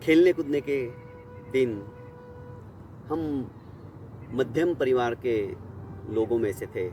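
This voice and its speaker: Long, frequent pauses break up speech with ordinary pitch variation over noticeable background noise. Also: man, medium pitch for a man. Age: 60s. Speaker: storyteller. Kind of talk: personal storytelling.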